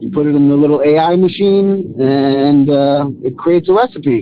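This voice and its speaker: A man with a New York accent speaks at a fairly high pitch with ordinary pitch variation. Noticeable background noise runs underneath. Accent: New York (Queens). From Queens, New York. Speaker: caller. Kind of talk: voicemail message.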